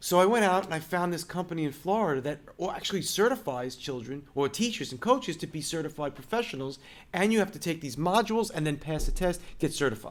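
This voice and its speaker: A man with a slight Brooklyn accent, high-pitched, with lively intonation and a very fast pace. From Brooklyn, New York. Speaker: music school owner. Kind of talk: interview. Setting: in person at his music school.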